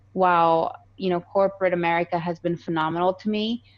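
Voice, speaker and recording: Against a quiet background, a woman with a slight Colombian accent speaks at a moderate pace in a fairly low pitch with fairly even intonation. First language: Spanish. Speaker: real estate investor. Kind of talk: podcast interview.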